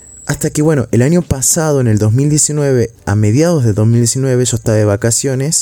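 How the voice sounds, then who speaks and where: A man's dark, mellow voice with ordinary pitch variation, very even loudness and a moderate pace. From Argentina, Salta. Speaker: university student podcaster. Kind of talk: casual monologue. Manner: hesitant, with filler sounds.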